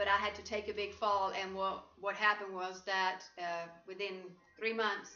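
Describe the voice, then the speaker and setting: A woman with a Swedish accent speaks in a monotone, flat intonation, with audible room echo and music in the background. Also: medium pitch for a woman, moderate pace. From Sweden. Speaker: life coach. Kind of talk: interview. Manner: halting.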